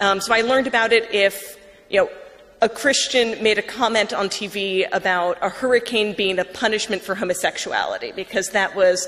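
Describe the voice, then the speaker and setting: With an American accent, a woman talks at a fairly quick pace over noticeable background noise. Her pitch is medium and her intonation fairly even. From US Northeast, Long Island, New York. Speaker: writer and former atheist blogger. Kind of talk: conversion talk to an audience. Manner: casual, with many fillers.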